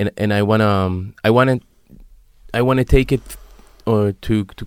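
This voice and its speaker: An unremarkable speaking voice from a man, moderate in pace with ordinary pitch variation, in a dry, close sound with no echo and a very clean recording over a silent background. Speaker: podcast host. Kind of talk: casual interview.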